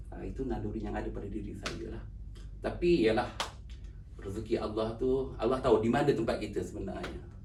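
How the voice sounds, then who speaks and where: A man talks at a fairly quick pace in a room with audible echo and noticeable background noise. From Malaysia, Pahang and Selangor. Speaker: author and university driver. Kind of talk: interview. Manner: halting.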